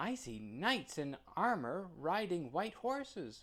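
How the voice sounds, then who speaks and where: Very wide pitch swings mark a put-on character voice that moves fairly slowly. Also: man, high pitch for a man. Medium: read story.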